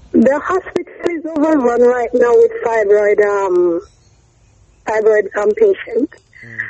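Against noticeable background noise, a woman talks very slowly with very wide pitch swings. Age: 40s. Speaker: client. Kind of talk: testimony. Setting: phone call.

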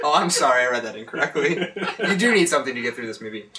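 A man with a fairly high voice speaks with lively intonation as noticeable noise sounds around him. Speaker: staff writer. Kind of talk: movie review reading.

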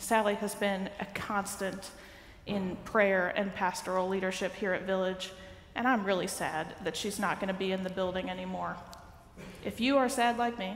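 A woman speaks with fairly even intonation in a room with audible echo. Light background noise sits underneath. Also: moderate pace. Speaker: minister giving announcements. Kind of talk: church announcements. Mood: warm, a little sad. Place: church. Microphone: headset.

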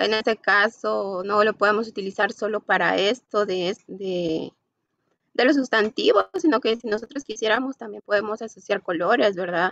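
At a moderate pace, the speech comes through with a dry sound, no echo and a quiet background. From Guatemala. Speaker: university student. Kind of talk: class presentation. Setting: video call. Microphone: video call.

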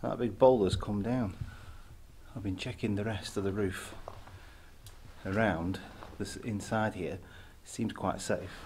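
Over light background noise, a man with a fairly low voice speaks with fairly even intonation. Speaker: urban explorer vlogger. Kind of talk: casual vlog commentary. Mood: cautious, slightly tense. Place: tunnel cave. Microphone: phone near.

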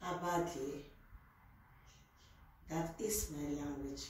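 A woman speaks at a very slow pace with a Nigerian accent and a very deep, low pitch, with strong room echo and light background noise. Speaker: youtuber. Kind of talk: casual talk to camera. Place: home room. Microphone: camera far.

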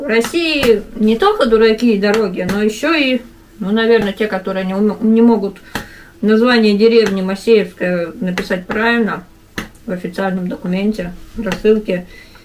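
A woman at a moderate pace, ordinary pitch variation, noticeable background noise. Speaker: vlogger. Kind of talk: casual mukbang vlog chat. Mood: mildly annoyed, joking. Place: home room. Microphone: camera far.

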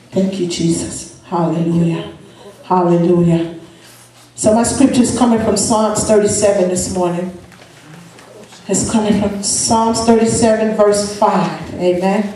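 A woman talks with fairly even intonation amid audible room echo and light background noise. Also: fairly slow pace. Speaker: preacher. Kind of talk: sermon. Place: church.

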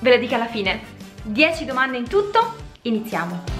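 A woman speaks with clear music in the background. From Rome. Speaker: language teacher youtuber. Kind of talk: casual talk to camera. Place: home room.

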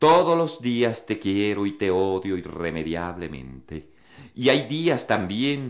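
The man's pitch moves through very wide swings. He talks very slowly. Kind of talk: poem reading, intimate, read aloud. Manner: slow, measured, contemplative, wistful.

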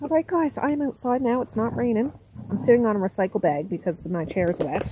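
A woman talks at a fairly quick pace. The sound is dry with no echo, but background noise is noticeable. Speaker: vlogger. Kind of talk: casual vlog chat. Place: garden. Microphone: phone near.

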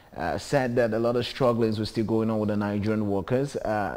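Fairly even intonation from a man at a fairly quick pace. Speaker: TV show host. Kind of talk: TV show presenting. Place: studio. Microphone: lapel.

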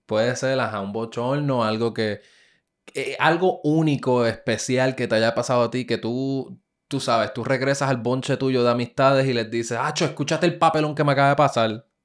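A man speaks at a medium pitch with ordinary pitch variation. His pace is moderate, and the background is quiet. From Puerto Rico (Ponce); Puerto Rico. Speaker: podcast host. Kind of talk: casual interview. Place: studio. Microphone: studio mic.

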